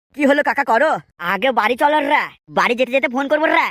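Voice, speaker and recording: A put-on character voice drawls at a high pitch and a fairly quick pace. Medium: cartoon. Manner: drawling, ends lines with 'রে'.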